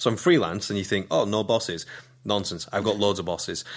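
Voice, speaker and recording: The recording is very clean, with a silent background. Intonation stays fairly even throughout. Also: man. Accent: West Yorkshire. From northern England, Keighley, West Yorkshire. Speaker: radio presenter, playwright and comedian. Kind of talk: casual interview.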